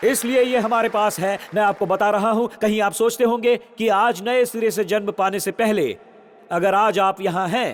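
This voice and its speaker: There is noticeable background noise as a man talks with a high pitch. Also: very even loudness. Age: 60s. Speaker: pastor. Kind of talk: sermon. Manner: animated.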